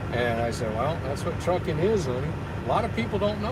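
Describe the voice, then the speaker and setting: A man talks at a very fast pace with very wide pitch swings, amid audible room echo and noticeable background noise. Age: 60s. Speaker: truck driver. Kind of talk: casual chat.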